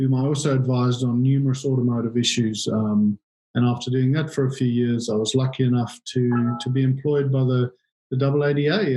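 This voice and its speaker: Over music in the background, a man with a South African accent speaks at a fairly quick pace and medium pitch, with fairly even intonation and very even loudness. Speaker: industry association chief executive. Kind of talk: interview. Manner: halting, frequent repetitions and fillers.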